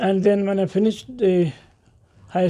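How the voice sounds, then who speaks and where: A man's voice, dark and mellow in tone. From India, Tamil Nadu. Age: 80s+. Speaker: Arabic scholar and textbook author. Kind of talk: interview. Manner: halting.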